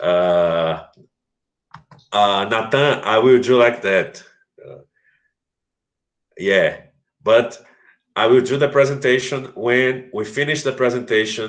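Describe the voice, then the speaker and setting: A man with a Portuguese accent speaks very slowly at a medium pitch, with ordinary pitch variation and long, frequent pauses. His loudness swings widely. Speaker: English teacher. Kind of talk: online class lecture. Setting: live video stream.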